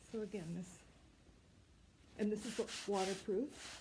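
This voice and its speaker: The woman's voice has a dark, mellow tone and is somewhat breathy. She speaks at a moderate pace with ordinary pitch variation. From Canada, Ontario. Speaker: sewing and knitting video host. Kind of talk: casual show-and-tell. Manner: hesitant, many fillers.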